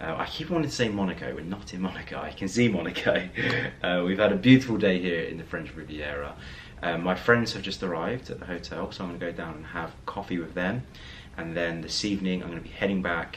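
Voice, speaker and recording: In a room with audible echo and noticeable background noise, a man speaks very fast at a very deep, low pitch, with big swings in loudness and ordinary pitch variation. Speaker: lifestyle vlogger. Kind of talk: casual vlog talk to camera. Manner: hesitant with fillers.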